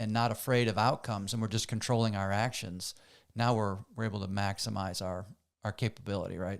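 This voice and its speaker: Fairly low in pitch, a man speaks in an ordinary speaking voice with fairly even intonation at a fairly quick pace. The recording is very clean, with a silent background. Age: 50s. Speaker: podcast host. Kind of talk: podcast interview.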